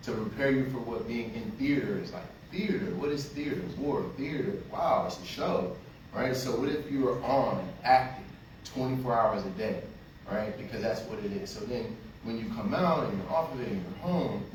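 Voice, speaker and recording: Loud speech at a moderate pace with very wide pitch swings, noticeable background noise and audible room echo. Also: man, medium pitch for a man. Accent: American. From North Carolina (Fayetteville). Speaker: army veteran and cannabis business owner. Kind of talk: panel discussion. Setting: panel at a film screening event.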